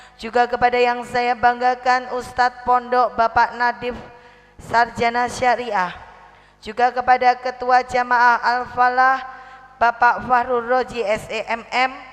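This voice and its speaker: With noticeable background noise behind her, a high-pitched woman speaks at a very slow pace with monotone, flat intonation. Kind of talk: sermon. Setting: religious gathering with audience.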